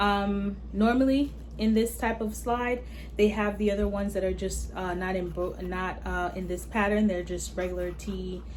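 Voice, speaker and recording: The woman speaks at a moderate pace. Her voice carries audible room echo along with noticeable background noise. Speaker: beauty and fashion YouTuber. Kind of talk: product review unboxing. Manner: casual, chatty.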